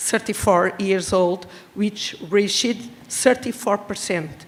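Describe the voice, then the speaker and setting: Speaking with a Portuguese accent at a fairly slow pace, a woman of medium pitch shows ordinary pitch variation amid noticeable background noise. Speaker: regional government official. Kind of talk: prepared speech read aloud. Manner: halting.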